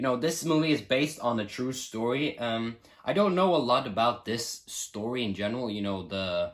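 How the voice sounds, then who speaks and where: With a Norwegian accent, a man talks at a moderate pace in a medium pitch, his intonation lively. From Norway. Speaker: film reviewer. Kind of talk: casual vlog review. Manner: animated.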